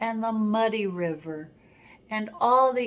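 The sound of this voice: The pitch moves with ordinary variation. It is an unforced reading voice.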